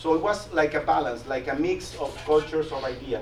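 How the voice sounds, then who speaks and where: A man with a Latin American accent and fairly high pitch, amid audible room echo and noticeable background noise. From Mexico. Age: 40s. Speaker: business executive and guest speaker. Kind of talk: presentation to a class. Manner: halting, with frequent repetitions and fillers.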